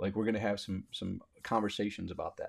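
A man with an American accent speaks at a very fast pace and a fairly low pitch on a very clean recording with a silent background. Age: 40s. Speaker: motivational podcaster, Marine veteran. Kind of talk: solo motivational monologue. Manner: animated.

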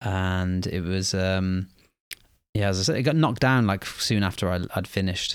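On a very clean recording with a silent background, a man speaks at a moderate pace in an ordinary speaking voice, fairly low in pitch with ordinary pitch variation. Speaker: teacher podcast host. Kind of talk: casual chat.

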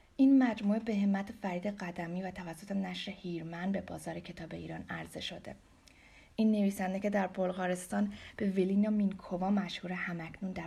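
A woman with a Persian accent speaks at a medium pitch and a moderate pace, her tone dark, mellow and somewhat breathy. Her intonation is fairly even, while her loudness swings widely. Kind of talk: scripted introduction read aloud in Persian.

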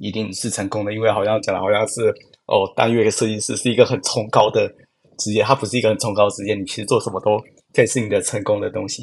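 Here a man speaks at a very fast pace. His pitch sits in the medium range, with fairly even intonation. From Taiwan, Yunlin. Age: 20s. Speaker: product designer. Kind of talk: interview conversation.

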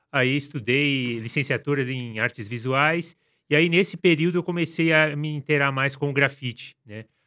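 Over a silent background in a very clean recording, a man with a fairly high pitch, ordinary pitch variation and a bright, sharp tone speaks at a moderate pace. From Brazil, São Paulo (Grajaú). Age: 40s. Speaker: graffiti artist. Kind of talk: interview. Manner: halting.

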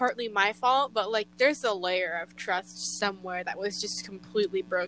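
Her voice is an unremarkable speaking voice, a woman's at medium pitch with ordinary pitch variation. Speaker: podcast host. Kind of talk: casual chat. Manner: talkative.

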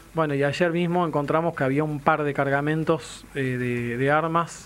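A man at a moderate pace with fairly even intonation, noticeable background noise behind him. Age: 40s. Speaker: radio host. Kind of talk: radio talk show.

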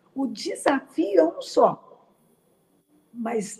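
Her pitch swings very widely as the woman talks in a somewhat breathy voice. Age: 70s. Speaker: psychologist. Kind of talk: interview on quarantine mental health, live stream. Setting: live stream.

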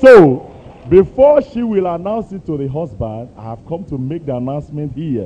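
Over noticeable background noise, a man with a fairly high voice talks at a moderate pace with very wide pitch swings. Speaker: congregation member. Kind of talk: testimony. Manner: halting.

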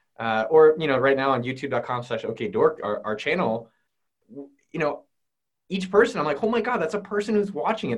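Very fast and fairly high-pitched, a man talks with very wide pitch swings and vocal fry. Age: 30s. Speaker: entrepreneur and YouTuber. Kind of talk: casual interview chat.

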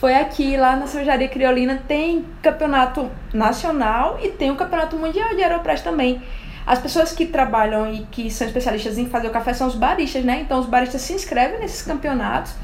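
Over noticeable background noise and audible room echo, a woman talks at a fairly quick pace. Her voice is high, with lively intonation. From Alagoas, Brazilian Northeast. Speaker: coffee enthusiast. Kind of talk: casual chat.

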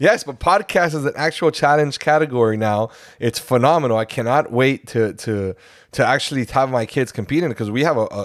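In a very clean recording with a silent background and a dry, close sound with no echo, a normal speaking voice talks at a fairly quick pace with ordinary pitch variation. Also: man. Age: 40s. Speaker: teacher and podcast co-host. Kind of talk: casual chat.

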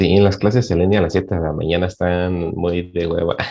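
Against a quiet background, a man speaks at a moderate pace. His pitch is very deep and low, and his intonation fairly even. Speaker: university student. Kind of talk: casual chat.

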